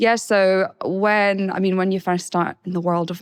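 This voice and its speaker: A woman with a Scottish accent and fairly even intonation. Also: very clean recording, silent background. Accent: Scottish twang. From Scotland, Edinburgh. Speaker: wine expert. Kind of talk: casual chat. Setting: studio.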